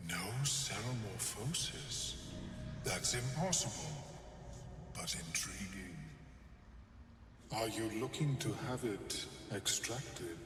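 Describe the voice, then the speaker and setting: In a put-on character voice at a medium pitch, a man speaks at a fairly slow pace with long, frequent pauses, clear echo and clear background noise. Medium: video game. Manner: clinical, detached.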